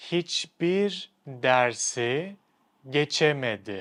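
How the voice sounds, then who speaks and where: The speaker has a Turkish accent. Pitch varies in an ordinary way. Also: man. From Turkey. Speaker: language teacher. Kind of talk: tutorial.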